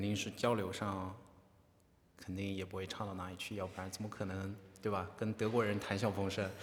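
With audible room echo, a man speaks at a moderate pace in a monotone, flat intonation, leaving long, frequent pauses. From China. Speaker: podcast host, interviewer. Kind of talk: interview. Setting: on university campus.

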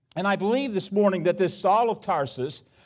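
A man speaks with an American accent on a very clean recording with a silent background. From US Midwest, Cincinnati area (Ohio). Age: 70s. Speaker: guest preacher. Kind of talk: sermon. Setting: church service. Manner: halting, repetitive.

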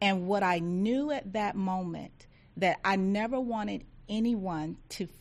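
A woman speaks with a Southern US accent at a fairly slow pace. Her pitch is medium, with ordinary pitch variation. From rural Georgia, US South. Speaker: agency diversity office director. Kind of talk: interview.

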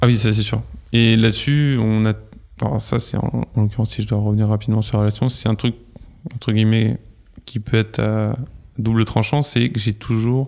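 Keeping a moderate pace with long, frequent pauses, a man speaks in a fairly low pitch with fairly even intonation. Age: 30s. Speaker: podcast guest sharing love story. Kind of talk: casual interview, personal testimony.

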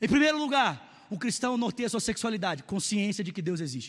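A man speaks with a high pitch and an animated tone. His intonation is lively. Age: 30s. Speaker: pastor. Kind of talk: sermon.

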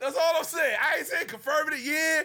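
Projecting a raised voice at an extremely high pitch, a man speaks at a moderate pace in an animated tone with ordinary pitch variation. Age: 30s. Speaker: wrestling podcast co-host. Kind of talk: casual chat.

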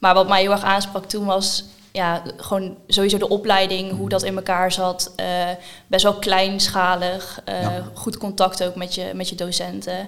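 A woman's medium-pitched voice with vocal fry, fairly slow and monotone, with flat intonation. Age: 20s. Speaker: online marketer. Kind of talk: casual interview.

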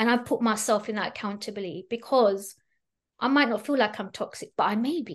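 The speaker sounds somewhat breathy and animated, moving at a fairly quick pace with ordinary pitch variation against a quiet background. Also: woman, fairly high pitch for a woman. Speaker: plane crash survivor and spiritual coach. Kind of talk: interview.

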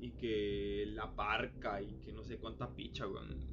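A man with a Costa Rican accent and a very deep, low pitch, at a very slow pace, with audible room echo and music in the background. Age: 20s. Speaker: podcaster. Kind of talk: casual monologue. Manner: halting. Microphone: phone recording.

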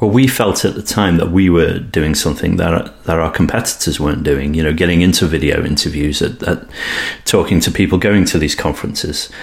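In a British accent, the speaker goes at a fairly quick pace with ordinary pitch variation against noticeable background noise. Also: man, very deep, low pitch for a man. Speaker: podcast host. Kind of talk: interview.

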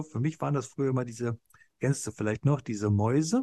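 A somewhat breathy man at a very fast pace against a quiet background. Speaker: podcast co-host. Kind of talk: casual chat. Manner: hesitant, many filler sounds.

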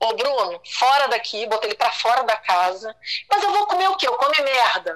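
Bright and sharp in tone, a woman with a high pitch talks at a moderate pace with very wide pitch swings. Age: 50s. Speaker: guest sharing personal story. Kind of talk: testimony. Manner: animated.

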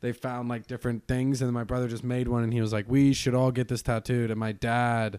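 A man with an American accent, a dark, mellow tone and a medium pitch, at a fairly quick pace, in a very clean recording with a silent background. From Colorado (Vail). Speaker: comedian. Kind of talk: casual chat.

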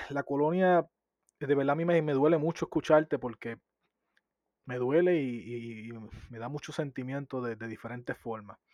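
A man at a moderate pace and fairly high pitch, with ordinary pitch variation, big swings in loudness and long, frequent pauses, in a dry, close sound with no echo and a quiet background. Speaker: podcast co-host. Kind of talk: interview.

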